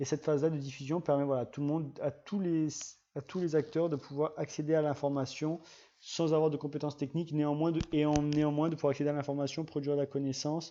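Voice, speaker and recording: Speaking very fast, a man with a dark, mellow tone and a fairly high pitch keeps a monotone, flat intonation. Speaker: GIS trainer and channel host. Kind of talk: live-streamed tutorial. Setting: live stream. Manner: halting, many restarts and fillers.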